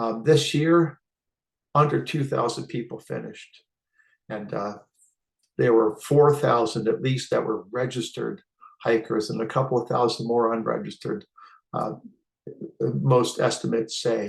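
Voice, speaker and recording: A man speaks at a moderate pace with vocal fry, his pitch medium and its variation ordinary. Long, frequent pauses break up his speech against a quiet background. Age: 60s. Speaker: hiking vlogger. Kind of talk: casual talk-to-camera tutorial. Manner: hesitant with frequent uh fillers.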